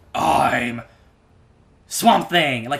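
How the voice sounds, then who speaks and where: A man's put-on character voice, raspy and gravelly, at a medium pitch. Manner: very slow.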